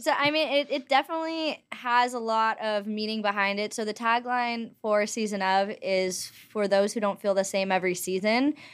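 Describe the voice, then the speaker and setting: In a very clean recording with a silent background, a woman with an American accent talks at a moderate pace. She has an ordinary speaking voice, fairly high in pitch, with ordinary pitch variation. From Los Angeles, US. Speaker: writer and entrepreneur. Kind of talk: casual interview chat.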